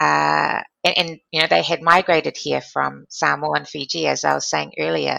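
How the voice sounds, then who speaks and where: A woman in a New Zealand accent talks at a moderate pace with hardly any pauses. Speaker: former diplomat and philanthropy leader. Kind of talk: interview.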